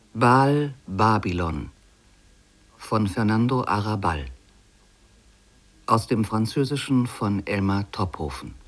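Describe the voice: The speech moves at a slow pace with long, frequent pauses. The intonation is lively. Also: man, fairly low pitch for a man.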